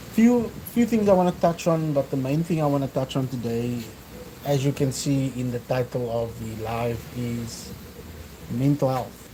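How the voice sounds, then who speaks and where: Moderately paced male speech at a medium pitch, ordinary in pitch variation, over noticeable background noise. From South Africa, Cape Town. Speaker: fitness vlogger. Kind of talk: casual livestream talk. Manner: hesitant, many fillers.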